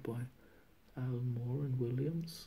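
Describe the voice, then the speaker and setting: A man speaks with a Norwegian accent. His pace is very slow. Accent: non-native, Norwegian. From Norway. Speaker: comic book collector. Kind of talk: casual talk to camera. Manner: hesitant, many fillers. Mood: pleased, relaxed. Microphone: phone near.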